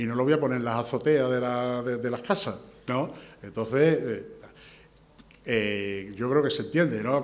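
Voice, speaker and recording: Against noticeable background noise and audible room echo, a man talks at a moderate pace and medium pitch with ordinary pitch variation. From Andalusia, Spain (Huelva province village, then Seville). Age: 60s. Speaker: engineer and brotherhood candidate. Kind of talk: candidacy presentation and press Q&A. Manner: halting, many repetitions and fillers.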